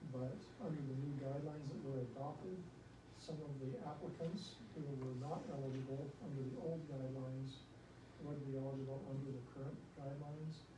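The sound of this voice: A man speaks at a medium pitch and a fairly quick pace. His intonation is fairly even, with audible room echo.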